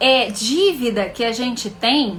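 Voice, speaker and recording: Very slow speech from a woman, set against noticeable background noise. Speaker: financial educator and mentor. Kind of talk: live stream teaching.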